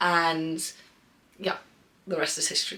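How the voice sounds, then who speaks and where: The woman's voice sits at a fairly low pitch, with a bright, sharp tone. She sounds animated. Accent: southern English. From England, Bath. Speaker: artist. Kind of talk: casual Q&A vlog. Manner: chatty, animated.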